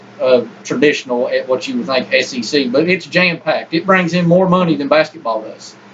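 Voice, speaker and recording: With noticeable background noise behind him, a man talks at a fairly quick pace with hardly any pauses, a high pitch and lively intonation. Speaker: sports podcast co-host. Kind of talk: casual sports debate.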